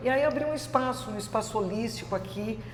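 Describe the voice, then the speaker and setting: A woman's voice with very wide pitch swings at a moderate pace, plus audible room echo and noticeable background noise. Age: 60s. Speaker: yoga instructor, former journalist. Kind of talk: interview, personal story. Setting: her yoga studio. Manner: hesitant, many filler sounds.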